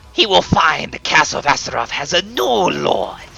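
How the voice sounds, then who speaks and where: This is a put-on character voice from a man. He keeps a moderate pace. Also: high pitch for a man. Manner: menacing.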